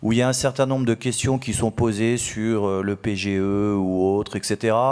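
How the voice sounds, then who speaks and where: With a quiet background, a man keeps a moderate pace and ordinary pitch variation. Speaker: chartered accountant and auditor; conference panelist. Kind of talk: conference workshop presentation. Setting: conference hall with audience. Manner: halting, many hesitations. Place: hall.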